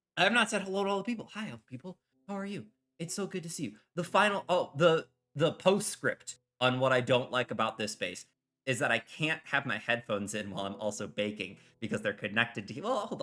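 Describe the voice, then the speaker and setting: Very fast and fairly high-pitched, a man speaks in a bright, sharp tone with very wide pitch swings and big swings in loudness. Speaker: streamer. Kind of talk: casual chat. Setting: live stream while baking in kitchen.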